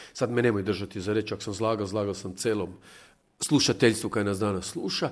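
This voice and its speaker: The speaker talks at a fairly quick pace with a Zagreb accent. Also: man. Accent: Zagorje kajkavian-tinged Zagreb Croatian. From Croatia, Hrvatsko zagorje (near Lobor, Golubovec). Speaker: communication scientist. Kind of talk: radio interview chat.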